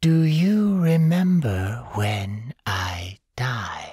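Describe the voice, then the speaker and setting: Putting on a character voice, a man speaks at a medium pitch and a very slow pace with very wide pitch swings. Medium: read story. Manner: emotionless, detached.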